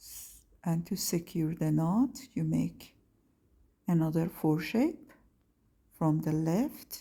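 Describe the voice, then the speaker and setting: A woman with a non-native accent speaks very slowly, with long, frequent pauses and big swings in loudness. The recording is very clean, with a silent background. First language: not English. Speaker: craft tutorial maker. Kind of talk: tutorial. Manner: halting.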